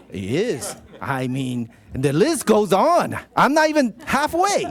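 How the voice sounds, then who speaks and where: A man's high voice at a very slow pace, very wide pitch swings, and noticeable background noise. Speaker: city council member. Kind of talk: reading a proclamation at a council meeting.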